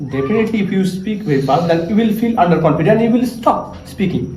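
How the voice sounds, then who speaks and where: Audible room echo surrounds the man who is talking. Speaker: English learning vlogger. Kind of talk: casual tutorial vlog. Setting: cousin's house. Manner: trying to speak slowly, with hesitations.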